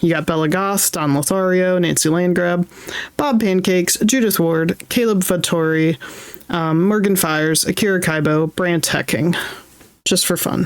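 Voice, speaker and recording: A woman speaks with ordinary pitch variation and very even loudness. Noticeable background noise runs underneath. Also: fairly low pitch for a woman, moderate pace. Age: 30s. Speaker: streamer. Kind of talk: casual chat. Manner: animated.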